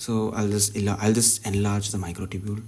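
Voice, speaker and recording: A man with a fairly low, somewhat breathy voice speaks at a fairly quick pace. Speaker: pharmacology tutor. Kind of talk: tutorial. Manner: halting.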